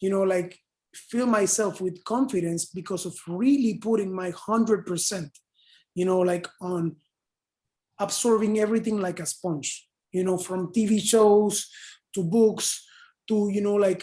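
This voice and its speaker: A woman with a Spanish accent and a dark, mellow tone speaks at medium pitch and a fairly slow pace, with fairly even intonation and long, frequent pauses, against a quiet background. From Panama. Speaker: advertising copywriter. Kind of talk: panel talk in online open house.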